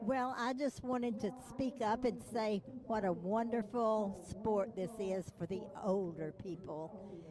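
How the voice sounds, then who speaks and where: Noticeable background noise runs under a woman's fairly high voice. She speaks at a fairly slow pace with ordinary pitch variation. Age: 80s+. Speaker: senior dragon boat paddler. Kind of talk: live interview.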